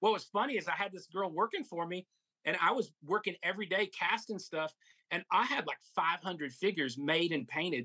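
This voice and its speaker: The tone is bright and sharp, the pace fairly quick, and the pitch varies in an ordinary way, with a dry, close sound and no echo. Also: man, high pitch for a man. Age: 50s. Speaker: toy collector and seller. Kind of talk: casual chat.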